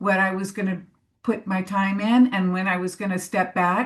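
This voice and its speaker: At a moderate pace, this speaker talks in a somewhat breathy voice. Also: woman. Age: 60s. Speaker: panelist on crone archetype in death work. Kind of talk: panel discussion. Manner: halting.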